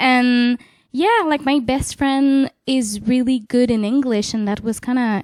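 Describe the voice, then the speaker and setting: A woman's high-pitched, fairly slow speech in a Quebec accent. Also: dry, close sound with no echo. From Quebec City, Canada. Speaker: jazz vocalist and bandleader. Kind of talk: casual interview conversation. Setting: in person, a home in Nanaimo. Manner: casual, hesitant, many fillers.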